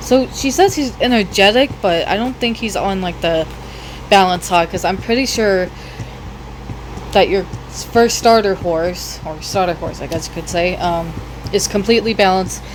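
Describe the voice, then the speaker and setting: Noticeable background noise sits under the speech. The pace is moderate, broken by long, frequent pauses. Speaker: gaming YouTuber. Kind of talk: gameplay tutorial. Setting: wearing headphones while recording. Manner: halting; loud.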